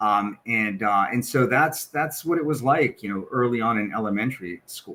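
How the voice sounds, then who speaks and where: A man with a Spanish accent and a bright, sharp tone speaks at a medium pitch and moderate pace, with ordinary pitch variation. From western US, military moves. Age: 50s. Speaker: corporate equity executive. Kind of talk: podcast interview, personal story.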